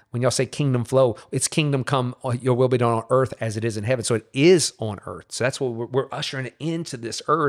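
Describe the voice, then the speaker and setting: A man with a Louisiana accent at a medium pitch, fairly quick with hardly any pauses, on a very clean, dry, close recording with no echo and a silent background. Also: ordinary pitch variation. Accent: Louisiana Southern US. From Louisiana, New Orleans area. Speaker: pastor. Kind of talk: casual chat.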